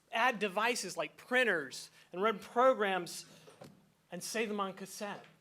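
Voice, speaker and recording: With a raised, projected voice in a bright, sharp tone, a man speaks at a fairly slow pace and high pitch with ordinary pitch variation. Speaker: event host. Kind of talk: introduction speech.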